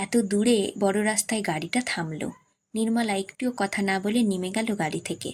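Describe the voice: Against quiet surroundings, text is read aloud plainly.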